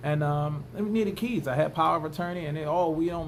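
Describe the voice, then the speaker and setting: Audible room echo around a man's fairly high voice at a fairly quick pace. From United States. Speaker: vlogger. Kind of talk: casual monologue vlog. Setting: indoors at home, bedroom. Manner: animated.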